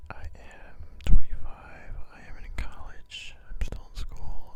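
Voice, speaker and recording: A man is whispering. He has an American accent. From US Midwest, Chicago. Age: 20s. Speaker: ASMR creator, college student. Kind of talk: ASMR casual monologue. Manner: soft-spoken; hesitant.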